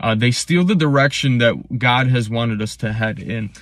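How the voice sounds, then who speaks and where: An unremarkable speaking voice holds a moderate pace. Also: man. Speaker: pastor. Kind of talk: sermon-style devotional talk to camera.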